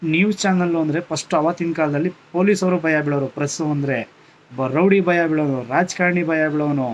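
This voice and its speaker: The speaker is a man. His pitch is fairly high. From Karnataka, India. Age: young. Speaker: YouTube vlogger. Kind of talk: impassioned social media rant. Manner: emotional, halting with many pauses.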